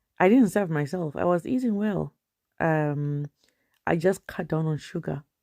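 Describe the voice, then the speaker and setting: In a very clean recording with a silent background, a woman speaks at a fairly slow pace with a fairly low pitch, a dark, mellow tone and ordinary pitch variation. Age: 50s. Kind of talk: casual vlog talk to camera while walking. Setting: outdoors.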